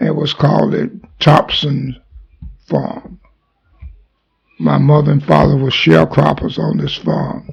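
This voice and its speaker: Taking long, frequent pauses, a man speaks at a fairly slow pace. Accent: Mississippi. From US South, Mississippi. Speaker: army veteran. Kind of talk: oral history interview.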